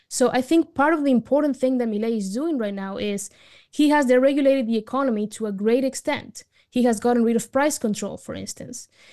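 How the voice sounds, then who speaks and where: A woman's high-pitched voice with a dark, mellow tone, a Spanish accent, ordinary pitch variation and a fairly quick pace. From Argentina. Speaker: writer and advocate. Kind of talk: interview.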